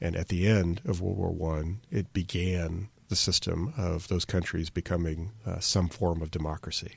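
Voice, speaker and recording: Hardly pausing, a man with a very deep, low pitch speaks at a moderate pace in a somewhat breathy voice with fairly even intonation, captured on a very clean recording with a silent background. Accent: American. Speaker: podcast host. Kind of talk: casual podcast talk. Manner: unscripted, hesitant with fillers.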